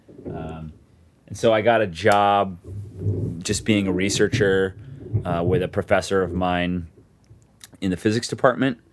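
Speaking at a fairly slow pace with long, frequent pauses, a man with an American accent has a very deep, low pitch and fairly even intonation. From Arizona (Tucson). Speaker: analytics and data science professional, Luke's cousin. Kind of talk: casual chat. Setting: room on a family trip, in person.

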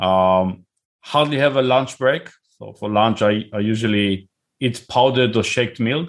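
In an Israeli accent, a man speaks at a fairly slow pace with a medium pitch. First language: Hebrew. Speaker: tech company CEO and founder. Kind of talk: interview. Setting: video call.

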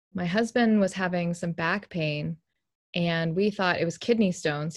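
At a moderate pace, a woman with a fairly low pitch speaks in a plain, everyday voice. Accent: American. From Texas. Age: 30s. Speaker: bereaved widow and mother, grief podcaster. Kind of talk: interview testimony. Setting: video call.

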